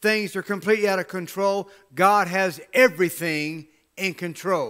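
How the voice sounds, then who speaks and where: Projected and raised, this animated voice is bright and sharp, moving at a fairly slow pace with ordinary pitch variation over a quiet background. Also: man. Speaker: pastor. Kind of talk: sermon. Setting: church with livestream camera. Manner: animated, exhortative preaching with call-and-response; emphatic, rhetorical questions and repeated phrases. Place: church.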